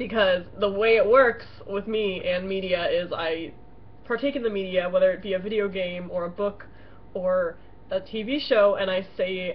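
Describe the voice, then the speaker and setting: At a moderate pace, a woman speaks with a medium pitch and fairly even intonation over noticeable background noise. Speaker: roleplay blogger. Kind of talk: casual webcam vlog. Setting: home webcam. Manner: loud; hesitant, filler-heavy.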